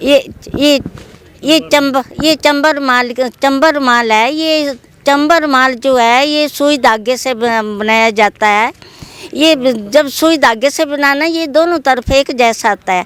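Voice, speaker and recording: Ordinary pitch variation in the high-pitched voice of a woman. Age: 70s. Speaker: handicraft artisan. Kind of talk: interview. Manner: halting.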